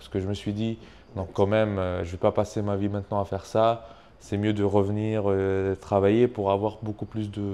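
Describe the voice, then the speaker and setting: Speaking at a moderate pace with a strong non-native accent, a man keeps a monotone, flat intonation. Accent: strong foreign accent in French. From Tunisia. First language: not French (speaking French). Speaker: YouTube entrepreneur, channel owner. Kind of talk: casual interview chat. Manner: hesitant, many fillers.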